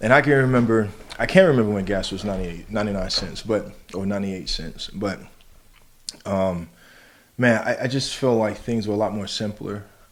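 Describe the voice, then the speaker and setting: Against audible room echo, a man with a fairly low pitch talks at a fairly quick pace with ordinary pitch variation and long, frequent pauses. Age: 30s. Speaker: podcast host. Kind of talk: casual chat.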